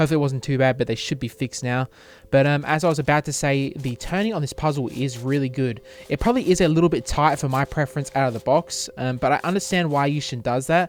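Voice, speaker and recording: In an Australian accent, a man talks at a very fast pace with an enthusiastic tone. His pitch is fairly high, with ordinary pitch variation. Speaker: cube shop owner and reviewer. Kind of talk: unboxing review. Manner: tongue-tied, many fillers.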